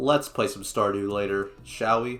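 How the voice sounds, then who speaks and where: In a very clean recording with a silent background, a man talks at a moderate pace in a normal speaking voice of medium pitch. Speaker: gaming YouTuber. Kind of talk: scripted video essay narration. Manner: casual, jokey.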